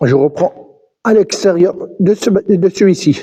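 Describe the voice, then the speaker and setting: This man speaks with lively intonation. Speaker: urban explorer vlogger. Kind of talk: vlog walkthrough narration. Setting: abandoned mine buildings, echoing. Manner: halting, repeats words.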